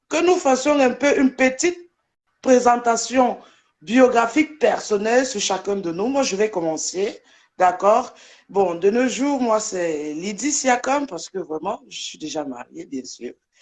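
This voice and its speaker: Speaking at a very slow pace, a woman's voice moves through very wide pitch swings and big swings in loudness. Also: fairly high pitch for a woman. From Germany. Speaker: social media personality. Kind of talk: live debate.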